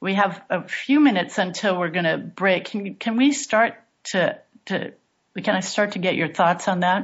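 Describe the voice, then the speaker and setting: A woman's voice, medium in pitch and somewhat breathy. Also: ordinary pitch variation, moderate pace. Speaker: radio host. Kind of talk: radio talk show hosting.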